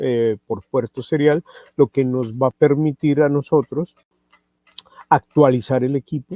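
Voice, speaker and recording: Recorded with a dry, close sound and no echo, a man speaks at a medium pitch with fairly even intonation. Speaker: product trainer presenting a radio receiver. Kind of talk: webinar product presentation. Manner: slow, deliberate; many filler sounds.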